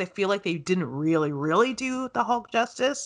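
A woman with a Canadian accent has a normal speaking voice. She speaks at a moderate pace with lively intonation. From Canada, farming town. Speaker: podcast host. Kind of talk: casual chat.

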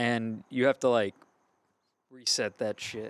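With a slight Cajun accent, a man speaks at medium pitch in a monotone, flat intonation, the sound dry and close with no echo. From Louisiana, Gonzales. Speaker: band vocalist. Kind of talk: casual chat.

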